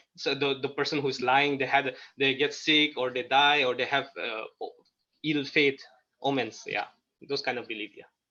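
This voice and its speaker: At a moderate pace, a man talks in a fairly high pitch with a bright, sharp tone. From Nagaland, India. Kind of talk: interview. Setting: video call. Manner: halting.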